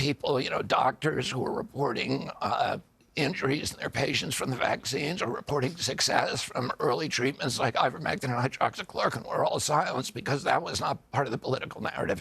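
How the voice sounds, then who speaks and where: With an American accent, a man speaks at a fairly quick pace with hardly any pauses, his pitch fairly high and its variation ordinary. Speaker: US presidential candidate. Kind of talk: interview answer.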